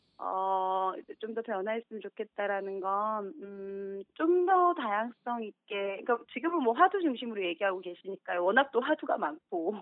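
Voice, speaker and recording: At a moderate pace with hardly any pauses, a woman with a fairly high pitch makes very wide pitch swings. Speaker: listener. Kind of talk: phone interview. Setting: phone call. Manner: soft-spoken.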